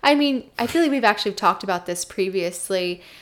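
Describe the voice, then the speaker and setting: This woman has a normal speaking voice at medium pitch with ordinary pitch variation, captured in a very clean recording with a silent background. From New Jersey, Jersey Shore. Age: 20s. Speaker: wellness entrepreneur. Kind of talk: interview.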